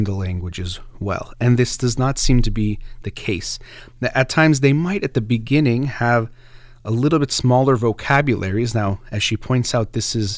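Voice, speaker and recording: On a very clean recording with a silent background, a man speaks at a moderate pace with an American accent. He has an unremarkable speaking voice at a medium pitch. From United States. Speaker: radio host. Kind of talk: radio book discussion monologue.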